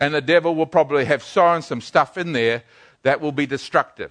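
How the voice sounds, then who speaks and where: Bright and sharp in tone, a man speaks with a New Zealand accent over a quiet background. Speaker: pastor. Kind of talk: sermon. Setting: church. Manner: halting.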